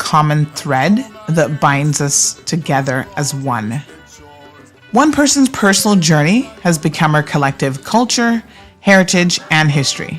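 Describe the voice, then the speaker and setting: A woman's very deep, low voice with lively intonation at a fairly slow pace, music in the background. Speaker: interview host. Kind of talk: series introduction.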